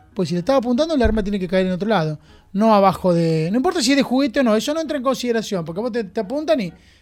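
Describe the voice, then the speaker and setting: Very clean and set against a silent background, this recording has a man talking at a very fast pace in a high pitch with very wide pitch swings. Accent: Argentine. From Argentina, Junín (Buenos Aires province). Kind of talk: casual interview. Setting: studio.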